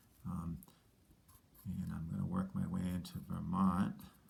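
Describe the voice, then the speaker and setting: A man speaks with vocal fry and very wide pitch swings. His tone is dark and mellow. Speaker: teacher. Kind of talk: tutorial. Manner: casual, hesitant with fillers.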